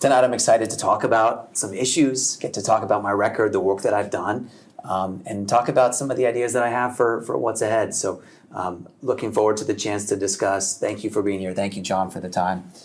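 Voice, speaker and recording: A man talks at a fairly quick pace with fairly even intonation and a fairly low pitch. He has a plain, everyday voice. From Connecticut (Madison area). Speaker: state representative. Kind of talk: political debate.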